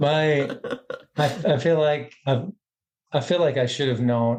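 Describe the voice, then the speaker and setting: At a moderate pace, a man talks with fairly even intonation and a slight Southern US accent. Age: middle-aged. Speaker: podcast guest, educator. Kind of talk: casual chat. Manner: halting.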